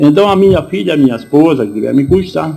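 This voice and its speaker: Vocal fry runs through a dark, mellow tone delivered at a moderate pace with ordinary pitch variation. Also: man. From southern Brazil, Rio Grande do Sul. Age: 70s. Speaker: war veteran. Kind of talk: interview testimony. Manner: halting, many self-corrections.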